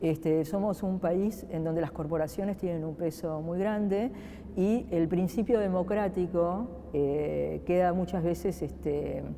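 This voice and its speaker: A woman speaks at a fairly slow pace. Her pitch sits fairly low, with ordinary pitch variation. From Argentina. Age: 50s. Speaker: political scientist, research agency director. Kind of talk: interview. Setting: museum, interview set. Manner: hesitant, many fillers.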